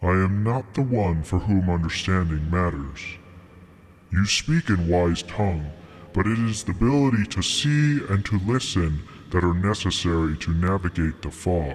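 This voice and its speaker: A man puts on a character voice with a very deep, low pitch, speaking at a moderate pace over clear background noise. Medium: read story. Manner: lofty, formal, cryptic.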